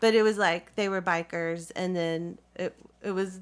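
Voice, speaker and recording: A woman with a Southern US accent at a medium pitch and a fairly slow pace, on a very clean recording with a silent background. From US South. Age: 40s. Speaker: community theatre actress. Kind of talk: interview. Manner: halting.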